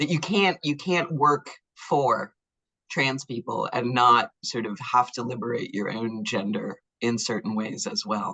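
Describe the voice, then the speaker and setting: Speaking at a fairly slow pace with a New York accent, a woman uses a very deep, low pitch, a bright, sharp tone and very wide pitch swings. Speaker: interviewer, gender writer. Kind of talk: interview. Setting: video call. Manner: interruptive, enthusiastic.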